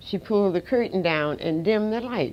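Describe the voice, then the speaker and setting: A woman's voice carries a dark, mellow tone and lively intonation. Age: 80s+. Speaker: civil rights pioneer, army veteran. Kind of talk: interview answer, personal recollection.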